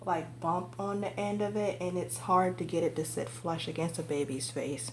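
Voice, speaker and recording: Audible room echo surrounds a woman as she speaks. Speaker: reborn doll collector and vlogger. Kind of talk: casual show-and-tell vlog.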